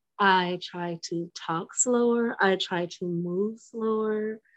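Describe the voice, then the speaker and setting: This woman's speech shows ordinary pitch variation. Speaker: spiritual circle participant. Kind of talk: casual chat. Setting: video call. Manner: slow.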